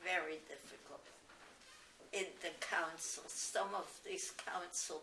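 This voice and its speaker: There's noticeable background noise as a woman speaks. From Germany. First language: German. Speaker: Holocaust refugee. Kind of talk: oral history interview answer.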